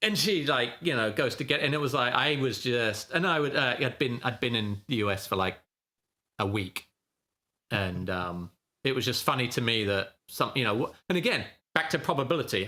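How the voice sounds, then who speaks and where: His tone bright and sharp, a man speaks with very even loudness. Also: medium pitch for a man, lively intonation, moderate pace, very clean recording, silent background. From England. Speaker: options trader and trading educator. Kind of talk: podcast interview, casual chat.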